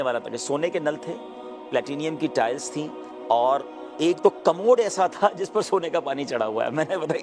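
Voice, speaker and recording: With music in the background, a man speaks at a fairly high pitch with lively intonation. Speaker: Islamic scholar. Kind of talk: interview answer.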